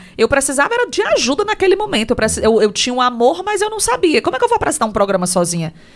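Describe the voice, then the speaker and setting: A woman with a high pitch, very wide pitch swings and a very fast pace, over noticeable background noise. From Ceará, Brazil (Tamboril, Inhamuns). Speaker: radio host and businesswoman. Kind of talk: casual interview.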